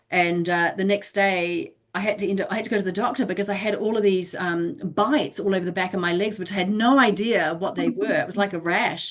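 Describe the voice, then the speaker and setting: A woman talks at a fairly quick pace and a medium pitch, with ordinary pitch variation and hardly any pauses. Noticeable background noise is present. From New Zealand. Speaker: interview guest. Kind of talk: casual interview.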